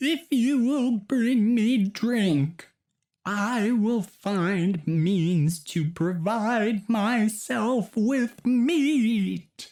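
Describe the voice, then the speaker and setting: The speaker uses a put-on character voice with a fairly high pitch. Delivery is very slow. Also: female-sounding voice. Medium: read story.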